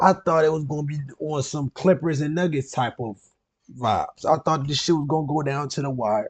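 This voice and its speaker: The speaker talks fairly quickly in an animated, somewhat breathy tone over a quiet background. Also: man, fairly high pitch for a man, ordinary pitch variation. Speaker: sports reaction youtuber. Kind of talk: reaction commentary. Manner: stuttering, repeating words.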